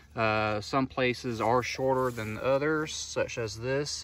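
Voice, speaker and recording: Speaking at a very slow pace, a man shows ordinary pitch variation in a dry sound with no echo. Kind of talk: field tour commentary. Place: open country. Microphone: phone near.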